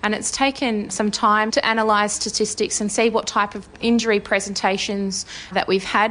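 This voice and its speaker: This woman has an Australian accent. Her pace is fairly quick. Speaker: army physiotherapist. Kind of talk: interview answers.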